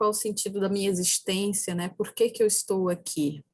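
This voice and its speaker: A somewhat breathy voice belongs to a woman. She holds a moderate pace. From Brazil, Ceará backlands (sertão). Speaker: philosophy professor. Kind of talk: lecture.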